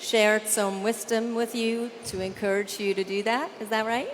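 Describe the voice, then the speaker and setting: Noticeable background noise sits behind a woman's voice. She speaks in a fairly high pitch at a moderate pace. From Canada. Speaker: event hostess. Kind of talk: event hosting. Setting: stage with audience. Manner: animated.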